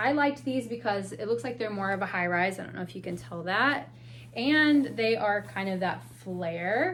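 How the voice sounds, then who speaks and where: A woman speaks with a medium pitch and very wide pitch swings. Room echo is audible. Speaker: part-time clothing reseller, haul video creator. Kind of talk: haul video, casual talk to camera. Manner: chatty, casual, with self-corrections.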